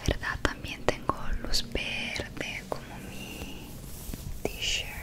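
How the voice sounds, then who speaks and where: Against loud background noise, a soft-spoken woman whispers at a very slow pace. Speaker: ASMR creator. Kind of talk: soft ASMR personal attention talk. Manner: soft close-mic whisper. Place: home room. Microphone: studio mic.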